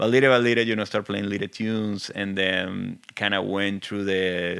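A man in a Venezuelan accent, fairly low in pitch, with fairly even intonation. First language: Spanish. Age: 40s. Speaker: film composer. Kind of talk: interview. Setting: studio.

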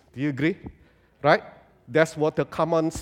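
Fairly high-pitched male speech with fairly even intonation, dry and close with no echo, on a very clean recording with a silent background. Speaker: guest preacher. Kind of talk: sermon. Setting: church with congregation.

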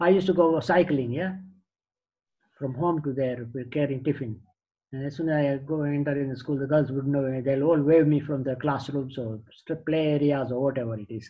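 A man speaks at a moderate pace in a somewhat breathy, fairly high voice with fairly even intonation. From Tanzania, Indian family. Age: 70s. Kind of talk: life story interview.

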